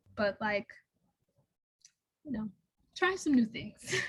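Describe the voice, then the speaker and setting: Fairly high female speech at a moderate pace. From Chicago, US Midwest. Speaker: scientist and copywriter, seminar speaker. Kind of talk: Q&A answer at seminar. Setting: university seminar. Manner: casual, conversational.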